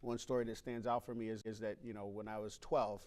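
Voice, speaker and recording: This man talks at a very fast pace with an American accent. His pitch sits at a medium level. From US South and western New York. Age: 60s. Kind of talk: interview.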